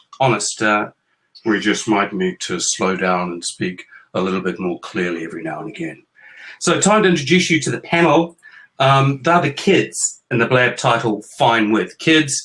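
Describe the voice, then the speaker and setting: A man with a New Zealand accent and very wide pitch swings. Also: medium pitch for a man, moderate pace. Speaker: author and parent hosting a chat show with his kids. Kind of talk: casual chat. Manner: playful, joking.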